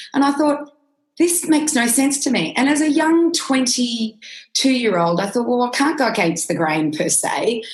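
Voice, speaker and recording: A woman's Australian accent at a fairly slow pace, with very wide pitch swings and audible room echo. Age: 50s. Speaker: nutritionist. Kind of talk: interview.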